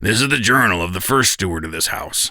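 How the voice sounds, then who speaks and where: A man puts on a character voice that is raspy and very deep, with a very low pitch. He talks at a fairly quick pace with lively intonation. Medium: audio drama. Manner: easygoing, wry.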